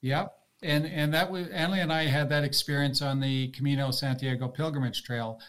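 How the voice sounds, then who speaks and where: Talking at a fairly quick pace, a man with fairly high pitch has an unremarkable speaking voice and fairly even intonation. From Canada (mostly Toronto). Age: 60s. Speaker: retired long-distance cyclist. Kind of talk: casual interview chat.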